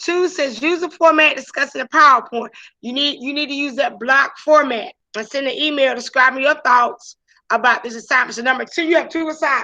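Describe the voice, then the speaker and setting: A woman speaks at a fairly quick pace in a high, raised and projected voice, bright and sharp in tone, with ordinary pitch variation. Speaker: high school teacher. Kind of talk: online class lecture. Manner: gets louder when excited.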